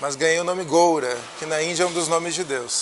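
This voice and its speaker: A high-pitched man with fairly even intonation over noticeable background noise. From Brazil, Curitiba (Paraná). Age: 40s. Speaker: politician. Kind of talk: interview.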